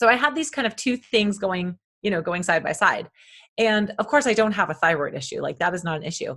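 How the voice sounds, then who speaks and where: At a fairly quick pace, a woman speaks with lively intonation. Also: medium pitch for a woman. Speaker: health and fitness coach. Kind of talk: casual chat.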